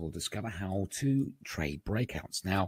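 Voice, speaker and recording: A man speaks with a British accent in a somewhat breathy voice. The sound is dry and close, with no echo. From England. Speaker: market analyst, trading educator. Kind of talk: webinar presentation. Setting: online webinar.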